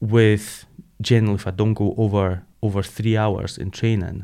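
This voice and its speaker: In a Scottish accent, a man with a fairly low pitch and a dark, mellow tone talks at a moderate pace with monotone, flat intonation, captured on a very clean recording with a silent background. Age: 40s. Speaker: ultramarathon runner. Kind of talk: interview.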